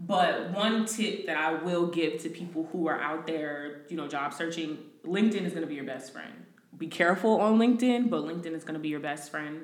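Against noticeable background noise and audible room echo, a speaker with an American accent talks with ordinary pitch variation. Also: woman, fairly low pitch for a woman, fairly quick pace. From New Jersey. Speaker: recruiter. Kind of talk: casual chat.

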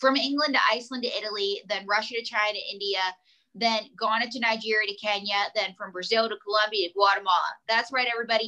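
Animated and very fast, a woman talks in a bright, sharp tone with a fairly high pitch. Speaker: ventriloquist and comedian. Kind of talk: casual chat. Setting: video or phone call. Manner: animated, joking.

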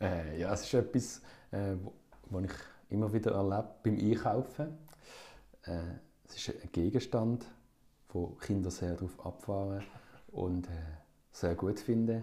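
Speaking in a Basel accent, a man with a fairly low pitch and a dark, mellow, somewhat breathy tone moves at a fairly slow pace, with ordinary pitch variation and long, frequent pauses. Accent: Swiss German (Basel). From Switzerland, Basel. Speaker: musician. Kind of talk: casual chat. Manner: halting.

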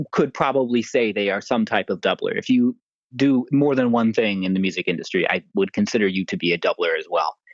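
A man talks at a fairly quick pace, his pitch swinging very widely. The sound is dry and close, with no echo. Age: 30s. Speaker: freelance woodwind musician. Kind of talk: interview. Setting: phone call.

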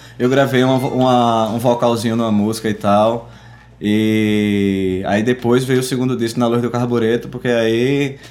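A man speaks at a fairly slow pace in a monotone, flat voice. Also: medium pitch for a man. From Pernambuco sertão, Arcoverde. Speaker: musician. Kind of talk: casual chat. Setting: studio.

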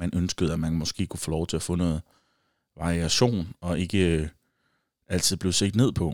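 A man with a very deep, low pitch speaks with ordinary pitch variation and long, frequent pauses. The sound is dry and close with no echo, on a very clean recording with a silent background. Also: moderate pace. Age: 20s. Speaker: podcast host. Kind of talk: solo casual monologue. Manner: hesitant, many fillers.

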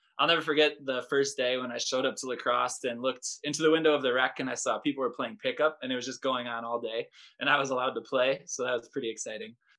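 Very fast speech with hardly any pauses, in an American accent, bright and sharp in tone, with fairly even intonation. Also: man, medium pitch for a man. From US Midwest, Wisconsin. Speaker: physical education teacher and researcher. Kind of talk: interview.

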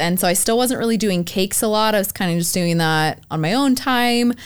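In a very clean recording with a silent background, a woman with an unremarkable speaking voice talks at a medium pitch with lively intonation. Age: 20s. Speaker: baker and bakery owner. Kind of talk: casual chat.

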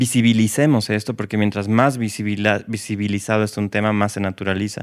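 A man at a fairly low pitch and moderate pace, an ordinary speaking voice, in a very clean recording with a silent background. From Bolivia. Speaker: guest, LGBT project co-founder. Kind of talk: casual interview chat.

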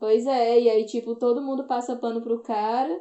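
A woman with a high pitch keeps her intonation fairly even and her pace moderate. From Brazil, Ceará (Northeast). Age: 30s. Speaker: activist and podcaster. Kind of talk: casual chat.

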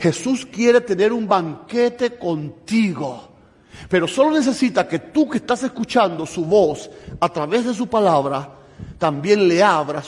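A man talks at a fairly slow pace. His voice moves in very wide pitch swings. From Cuba. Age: 50s. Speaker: preacher. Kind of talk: sermon.

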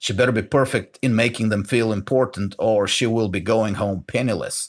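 A man speaks with a Bulgarian accent at a medium pitch. His intonation is fairly even and his pace fairly quick. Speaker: podcast host. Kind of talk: monologue commentary.

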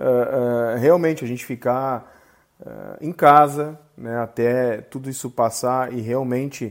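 A man's plain, everyday voice at a medium pitch, with fairly even intonation. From Rio Grande do Sul, Brazil. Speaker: podcast host, company CEO. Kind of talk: interview.

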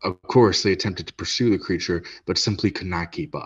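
A man's very deep, low, somewhat breathy voice with fairly even intonation at a fairly quick pace, set against a quiet background. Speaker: podcast host. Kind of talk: true-crime horror narration read aloud. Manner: dramatic, measured storytelling; casual, joking banter between segments.

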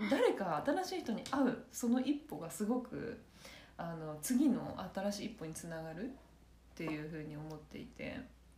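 This woman talks at a moderate pace in a fairly high voice, her pitch swinging very widely and her loudness in big swings. Room echo is audible, and background noise is noticeable. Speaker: podcast co-host. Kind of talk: casual chat.

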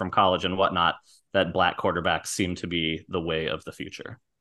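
A man at a fairly quick pace. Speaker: podcast co-host. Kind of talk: casual chat.

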